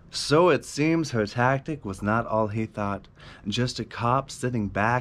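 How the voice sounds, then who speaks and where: In an amused, dramatic tone, a man speaks at medium pitch. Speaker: spoken word poet and content creator. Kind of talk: spoken word poetry performance, then casual sign-off. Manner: dramatic, rhythmic rhyming delivery of a dark narrative poem; giddy and self-amused after finishing the poem. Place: home room.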